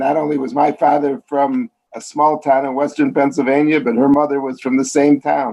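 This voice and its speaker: With a Chicago accent, a man talks at a moderate pace. His fairly high pitch carries a dark, mellow tone. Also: ordinary pitch variation. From US Midwest, Chicago. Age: 60s. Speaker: columnist and biographer. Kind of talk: interview.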